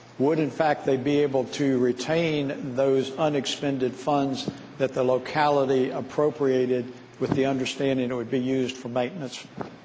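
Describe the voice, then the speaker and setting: Against noticeable background noise, a man at medium pitch talks at a moderate pace in monotone, flat intonation. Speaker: state senator. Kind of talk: questioning in legislative floor debate.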